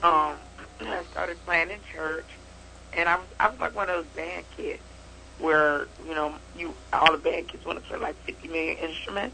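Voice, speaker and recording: A woman with an American accent leaves long, frequent pauses and has big swings in loudness. Noticeable background noise runs underneath. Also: moderate pace. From Chicago. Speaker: jazz trumpet player. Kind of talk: casual interview.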